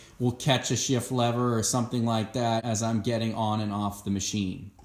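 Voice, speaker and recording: A man speaks at a fairly quick pace in a monotone, flat intonation. Room echo is audible. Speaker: tractor owner reviewer. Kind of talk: tutorial. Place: garage. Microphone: phone near.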